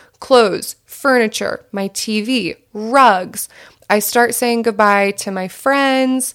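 With an American accent, a woman speaks in an animated tone at a fairly high pitch with ordinary pitch variation, on a very clean recording with a silent background. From southern New Jersey. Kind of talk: casual monologue storytelling.

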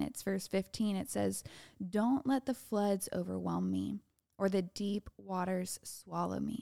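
The delivery is very slow, captured in a very clean recording with a silent background and a dry, close sound with no echo. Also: woman. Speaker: podcast host. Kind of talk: fervent prayer, reading scripture aloud, then heartfelt solo talk; solo podcast monologue, faith-based encouragement. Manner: earnest, heartfelt, pleading, imploring tone; animated, warm, conversational.

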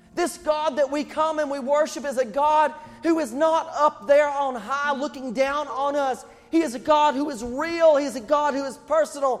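Over noticeable background noise, a man with an extremely high pitch talks at a moderate pace with fairly even intonation. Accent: East Tennessee. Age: 40s. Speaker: pastor. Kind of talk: sermon. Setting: church.

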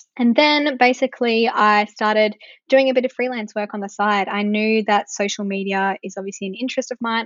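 A woman speaks in an ordinary speaking voice at a fairly quick pace, her medium pitch held in fairly even intonation. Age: 20s. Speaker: social media marketing business owner. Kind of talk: interview.

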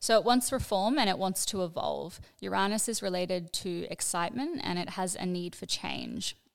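A woman talks at a moderate pace with hardly any pauses, on a very clean recording with a silent background. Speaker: astrologer. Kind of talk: explanatory teaching.

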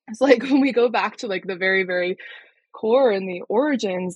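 A woman has a plain, everyday voice with an American accent and a medium pitch. She speaks at a moderate pace with ordinary pitch variation. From Colorado, US. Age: young. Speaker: yoga therapist. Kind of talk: interview.

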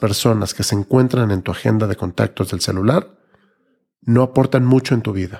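The man's tone is dark and mellow. He speaks at a moderate pace. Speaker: podcast host. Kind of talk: personal reflective monologue.

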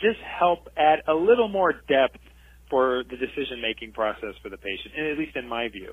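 A man with a fairly high voice speaks with lively intonation. His pace is moderate. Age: 40s. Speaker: fertility doctor and professor. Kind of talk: interview.

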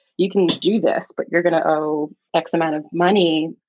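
This speaker has a plain, everyday voice with an American accent and ordinary pitch variation. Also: woman. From New York City, the Bronx. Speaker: veterinary oncologist. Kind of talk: casual interview chat.

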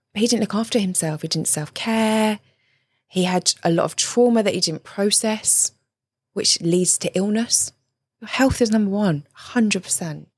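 With a southern English accent, a woman speaks at a moderate pace and medium pitch, somewhat breathy, with ordinary pitch variation, on a very clean recording with a silent background and a dry, close sound with no echo. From southern England (Surrey). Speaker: relationship coach and author. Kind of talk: interview conversation.

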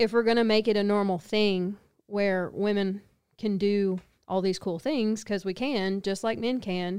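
Speaking with a Texan accent at a moderate pace, a woman keeps her intonation fairly even on a very clean recording with a silent background. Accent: Southeast Texas Southern American. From Texas. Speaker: podcast co-host. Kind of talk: casual chat.

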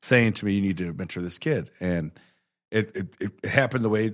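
On a very clean recording with a silent background, a man with an American accent and an unremarkable speaking voice talks at a moderate pace with ordinary pitch variation. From Chicago. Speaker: judge. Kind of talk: casual interview. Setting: studio.

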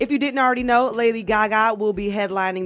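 Music plays behind the voice. A woman talks, her pitch varying in an ordinary way. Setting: radio studio.

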